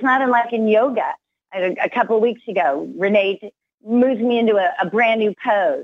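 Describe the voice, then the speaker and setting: A woman with a plain, everyday voice speaks at a moderate pace in a fairly high pitch with ordinary pitch variation. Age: 50s. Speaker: motivational speaker and business coach. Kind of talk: interview.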